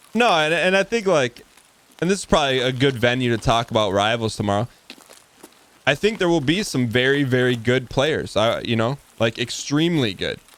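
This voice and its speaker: Over noticeable background noise, a man speaks at a medium pitch and moderate pace with lively intonation. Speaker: video game streamer. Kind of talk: live gameplay stream chat. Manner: occasional stutter; casual, repetitive restarts.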